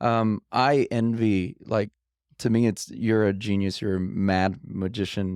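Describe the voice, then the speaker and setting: A man with an American accent speaks at a fairly slow pace, in an ordinary speaking voice with a fairly low pitch, ordinary pitch variation and very even loudness. The recording is very clean, with a silent background and a dry, close sound with no echo. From Los Angeles, US. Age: 30s. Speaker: pianist. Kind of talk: casual chat.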